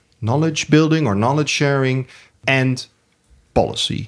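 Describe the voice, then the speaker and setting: The speaker has a Dutch accent. The pace is fairly slow. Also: man. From Netherlands, Utrecht. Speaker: podcast host, research institute. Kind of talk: interview. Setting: studio.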